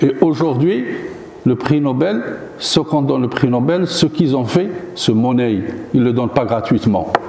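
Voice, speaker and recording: A man speaks at a moderate pace with lively intonation, amid noticeable background noise and audible room echo. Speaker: professor giving a guest lecture. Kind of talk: lecture. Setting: university lecture hall. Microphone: no microphone.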